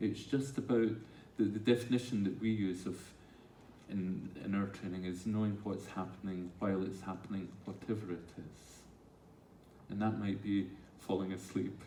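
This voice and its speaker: A man with a dark, mellow tone speaks at a moderate pace with fairly even intonation. He leaves long, frequent pauses, and room echo is audible. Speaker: mindfulness teacher. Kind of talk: talk with audience Q&A. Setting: stage with audience.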